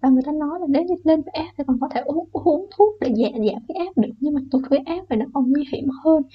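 Very fast and with hardly any pauses, a woman talks in a high voice with ordinary pitch variation. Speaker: storyteller YouTuber. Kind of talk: personal storytelling. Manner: not spooky enough per viewers.

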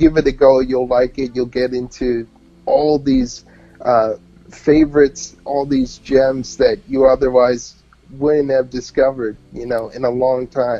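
Fairly slow, monotone speech from a man with a New York accent, medium in pitch and flat in intonation. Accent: New York-tinged American English. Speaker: independent musician and music journalist. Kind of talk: casual interview chat. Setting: remote online radio broadcast. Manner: relaxed, laughs often.

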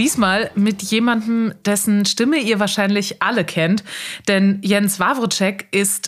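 A woman talks at a very slow pace. She speaks with a Rhineland accent. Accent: picked up Rhineland. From Bremen, northern Germany. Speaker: podcast host. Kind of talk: casual chat.

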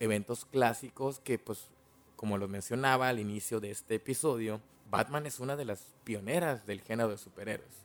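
Using ordinary pitch variation, a man with a medium-pitched voice speaks at a moderate pace. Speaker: podcast host. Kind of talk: film analysis monologue. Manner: casual.

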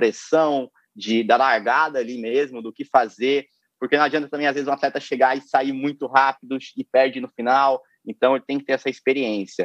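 In a normal speaking voice, a man with medium pitch talks at a moderate pace with fairly even intonation. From interior of São Paulo state, Brazil. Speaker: canoe slalom athlete. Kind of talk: casual interview chat.

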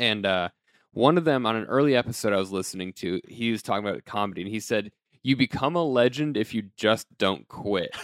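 On a very clean recording with a silent background, a man has a normal speaking voice at medium pitch with an American accent. He moves at a fairly quick pace with ordinary pitch variation. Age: 20s. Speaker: podcast host, comedian. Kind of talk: show intro monologue; casual chat.

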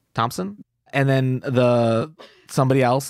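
Recorded very cleanly against a silent background, a man with an ordinary speaking voice talks at a medium pitch in a dry, close sound with no echo. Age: 20s. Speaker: podcaster. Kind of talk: casual chat.

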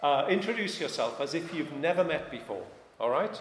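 With a Welsh accent, a man speaks at a high pitch and a moderate pace amid audible room echo and noticeable background noise. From Wales. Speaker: pastor. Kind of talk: sermon.

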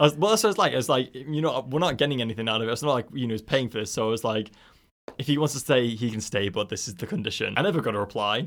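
Very fast and full of lively intonation, a man speaks at medium pitch on a very clean recording with a silent background. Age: 20s. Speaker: podcast host. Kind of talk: casual chat. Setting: studio.

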